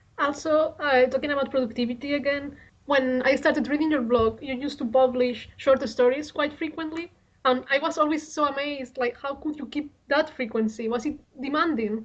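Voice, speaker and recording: A woman with a Spanish accent speaks at a fairly quick pace in a high voice. Her intonation stays fairly even. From Spain. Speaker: radio interviewer. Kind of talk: interview.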